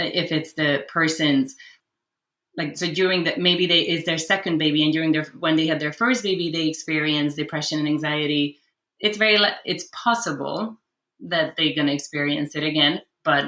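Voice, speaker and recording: The voice has a bright, sharp tone, ordinary pitch variation, and a moderate pace. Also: woman, very deep, low pitch for a woman. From Hungary. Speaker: clinical social worker. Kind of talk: podcast interview answer.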